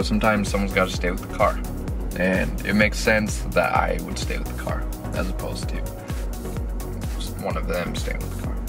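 Clear music plays in the background. The delivery moves at a fairly quick pace. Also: man. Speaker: vlogger. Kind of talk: casual vlog chat. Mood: playfully self-pitying. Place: car.

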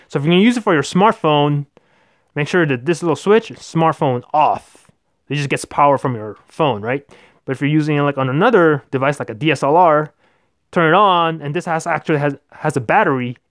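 The speech comes at a very fast pace, and the sound is dry with no echo. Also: quiet background. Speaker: tech reviewer. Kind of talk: tutorial. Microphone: phone near.

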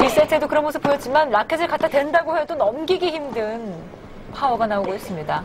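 A woman talks at a very fast pace with a high pitch and lively intonation. Music plays in the background. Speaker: play-by-play tennis commentator. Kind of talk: live sports commentary. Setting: broadcast recording, replayed match. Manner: fast, excited play-by-play delivery; rapid-fire short calls, rising energy at match point.

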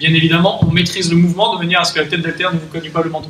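A man speaks in a high voice against noticeable background noise. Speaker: fitness coach. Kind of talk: tutorial. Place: gym. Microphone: camera far.

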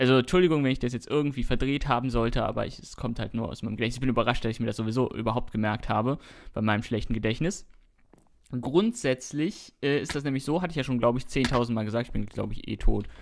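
This man talks very fast at a medium pitch. His pitch varies in an ordinary way. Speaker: Minecraft YouTuber. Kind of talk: casual chat while gaming, commentary. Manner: chatty, rambling, informal.

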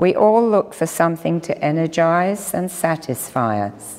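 A woman speaks at a very slow pace. Her pitch swings very widely. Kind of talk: sermon. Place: church. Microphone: lapel.

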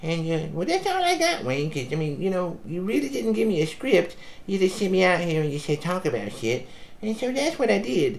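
A cartoonish character voice speaks at a middle pitch and a fairly quick pace. Background noise is clearly audible. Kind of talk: comic improvised rant. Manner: rambling, casual, complaining; nervous and paranoid toward the end.

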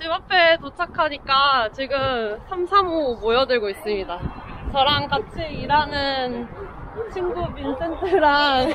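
A woman speaks at a very slow pace with a high pitch. The sound is dry with no echo, with noticeable background noise. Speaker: vlogger. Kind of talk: casual vlog chat. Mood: cheerful, smiling. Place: street. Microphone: phone near.

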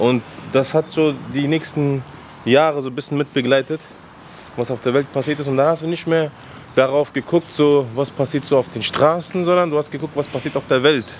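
With light background noise behind him, a man speaks at a moderate pace and with fairly even intonation. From Afghanistan (Kabul), raised in Frankfurt-Sossenheim; Afghanistan. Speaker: rapper; guest. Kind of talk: casual interview. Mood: relaxed, reflective storytelling. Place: street. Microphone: handheld.

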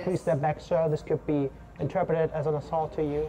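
A put-on character voice, nasal and at a middle pitch, moves at a fairly quick pace. Noticeable background noise sits behind it. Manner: nerdy.

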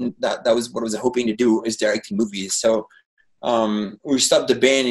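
A man with a French accent and fairly even intonation, over a quiet background. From France. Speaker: painter and former rock musician. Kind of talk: casual chat. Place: home room. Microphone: webcam.

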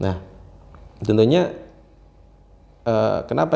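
Speaking at a fairly slow pace, the man has a fairly low pitch, a dark, mellow tone and vocal fry. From Banten, Indonesia. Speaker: businessman and local political candidate; interview guest, young contractor. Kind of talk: interview. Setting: workshop. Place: home room. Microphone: lapel.

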